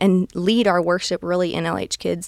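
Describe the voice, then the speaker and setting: A woman's medium-pitched voice with a Southern US accent, at a moderate pace, in a very clean recording over a silent background, dry and close with no echo. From US South, south Alabama near Gulf Shores. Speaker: children's ministry manager. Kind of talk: interview. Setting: studio.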